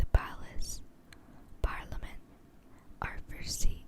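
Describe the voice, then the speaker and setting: A whisper at a very slow pace, with noticeable background noise behind it. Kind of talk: ASMR history tour narration. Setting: close-up microphone. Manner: whispered.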